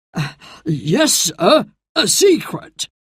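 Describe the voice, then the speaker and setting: The speaker uses a put-on character voice with very wide pitch swings. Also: woman, medium pitch for a woman. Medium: read story.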